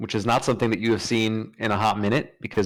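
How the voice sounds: The speaker uses a natural reading voice.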